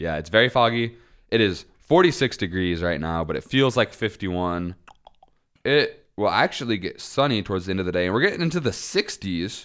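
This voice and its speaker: A man with an American accent talks at a fairly quick pace and fairly low pitch, an unremarkable speaking voice. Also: lively intonation. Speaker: podcast host. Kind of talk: casual chat. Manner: jokey, laughs often.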